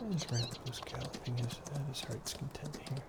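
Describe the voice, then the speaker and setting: Noticeable background noise surrounds the speaker. A man whispers at a fairly slow pace. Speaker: gaming channel host. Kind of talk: gameplay commentary. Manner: soft-spoken.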